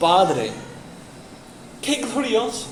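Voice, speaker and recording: Noticeable background noise and audible room echo are present. Through them, a man speaks very slowly. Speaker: pastor. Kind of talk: sermon. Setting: church, in person.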